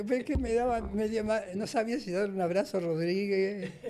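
A man's high voice at a moderate pace, with ordinary pitch variation and light background noise. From Argentina. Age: 80s+. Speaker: former radio and TV host; former radio, TV host. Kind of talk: casual interview chat. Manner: halting, repeats words. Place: studio. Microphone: studio mic.

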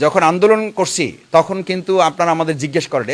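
A man's voice, high in pitch, its pitch varying in an ordinary way. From Bangladesh, Patuakhali (Bauphal). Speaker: politician, parliamentary candidate. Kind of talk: interview.

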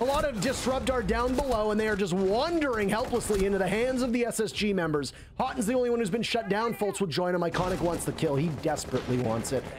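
A man races along at a very fast pace with hardly any pauses, his high, animated voice showing lively intonation at very even loudness over noticeable background noise. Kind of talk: esports commentary. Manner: animated, excitable play-by-play that speeds up and jumps on each kill; rapid-fire, breathless.

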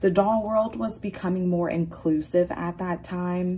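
Fairly slow pace with ordinary pitch variation. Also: woman. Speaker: doll collector vlogger. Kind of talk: casual vlog chat. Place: home room. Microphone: phone near.

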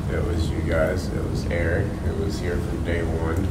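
A man speaks at a moderate pace while loud background noise fills the clip. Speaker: podcaster on a panel. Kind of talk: roundtable discussion answer. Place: meeting room.

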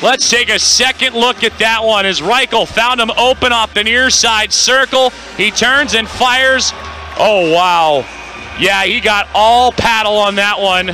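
With music in the background, a man speaks in a raised, projected voice with an animated tone and a high pitch. His pace is fairly slow, his pitch variation ordinary and his loudness very even. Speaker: hockey play-by-play announcer. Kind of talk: live sports commentary. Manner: animated, rising in pitch on goals.

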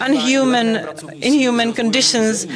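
At a moderate pace, the speech has a dry sound with no echo and noticeable background noise. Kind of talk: interpreted comedic conference talk. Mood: deadpan comic. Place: booth.

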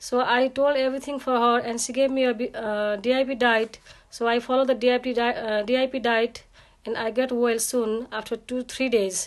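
Her pitch is high and her intonation monotone and flat. This woman is heard over a quiet background. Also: moderate pace. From Nepal. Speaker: client testimonial giver. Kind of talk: testimony. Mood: grateful, earnest. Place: home room. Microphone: phone near.

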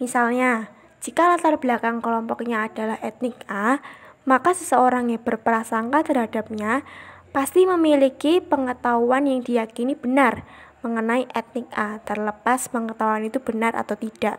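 This woman speaks in a high pitch with ordinary pitch variation. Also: moderate pace. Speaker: psychology student. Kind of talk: class presentation.

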